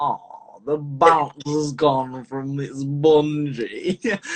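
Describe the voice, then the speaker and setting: In a put-on character voice with a northern English accent, a man speaks at a very slow pace. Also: fairly high pitch for a man. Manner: deadpan.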